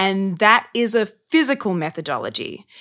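In a very clean recording with a silent background, a woman with an Australian accent speaks at a fairly slow pace and medium pitch. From Australia, Sydney. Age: 30s. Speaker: actor and acting coach. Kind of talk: casual chat. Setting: podcast interview.

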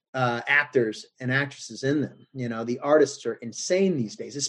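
Using a normal speaking voice with an American accent, a man talks at medium pitch and a moderate pace with ordinary pitch variation. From US South. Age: 40s. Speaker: actor. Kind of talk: casual chat.

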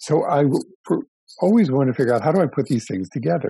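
A man speaks with an American accent and lively intonation. His tone is dark and mellow. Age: 70s. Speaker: real estate developer. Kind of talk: interview. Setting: remote call from home office.

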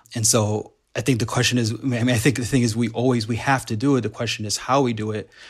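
A man talks at a very fast pace in a medium pitch, somewhat breathy. The recording is very clean, with a silent background. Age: 30s. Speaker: activist organizer. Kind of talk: casual chat. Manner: halting.

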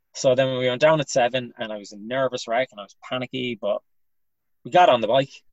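A man talks with a western Irish accent. His pace is very fast. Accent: Irish (west of Ireland). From Ireland, Galway. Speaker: comedian. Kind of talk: casual chat.

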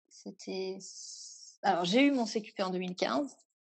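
A woman at a medium pitch speaks very slowly with ordinary pitch variation. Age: 30s. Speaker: yoga teacher. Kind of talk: interview.

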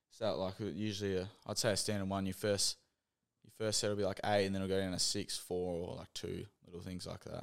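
In an Australian accent, a man talks at a fairly quick pace with a fairly low pitch and monotone, flat intonation. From Western Australia, Geraldton. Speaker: professional Australian football player. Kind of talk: casual interview.

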